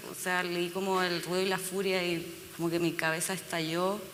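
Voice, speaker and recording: Moderate pace against noticeable background noise. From Chile. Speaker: novelist. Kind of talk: panel conversation.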